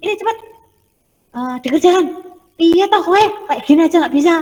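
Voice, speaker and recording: Using a put-on character voice, a woman talks at a fairly quick pace in an extremely high pitch. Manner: angry scolding.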